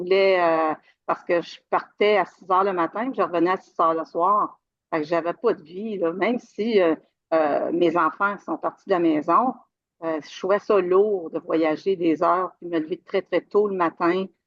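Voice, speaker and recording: Speaking fairly slowly in a Quebec accent, a woman with a fairly low pitch shows big swings in loudness. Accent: Québécois French. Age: 60s. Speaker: retired IT worker, coaching client. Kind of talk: interview testimony. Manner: halting, many fillers.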